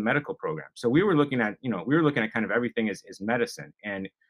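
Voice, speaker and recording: Using an American accent, a man with a medium pitch races along at a very fast pace with lively intonation. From Wisconsin. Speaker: cannabis lab founder. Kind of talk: interview.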